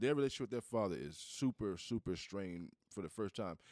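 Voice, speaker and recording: A man with an unremarkable speaking voice and an American accent talks at a fairly quick pace, his pitch fairly low, the sound dry and close with no echo. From US Southeast. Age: middle-aged. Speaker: podcast co-host. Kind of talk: casual chat.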